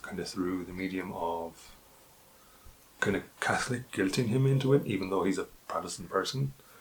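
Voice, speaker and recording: A man speaks with an Irish accent and ordinary pitch variation. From Ireland. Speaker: book youtuber. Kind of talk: casual book review monologue. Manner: hesitant with many fillers.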